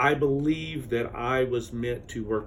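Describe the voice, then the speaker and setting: With an American accent, a man talks at a medium pitch, and audible room echo fills the recording. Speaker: university admissions advisor. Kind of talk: interview. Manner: loud.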